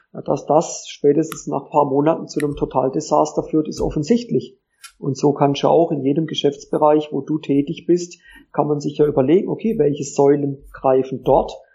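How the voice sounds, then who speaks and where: Fairly high in pitch and somewhat breathy, a man speaks at a moderate pace with fairly even intonation. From southwestern Germany (Pforzheim area, Baden). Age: 30s. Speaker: tennis coach. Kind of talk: interview. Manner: hesitant fillers (äh).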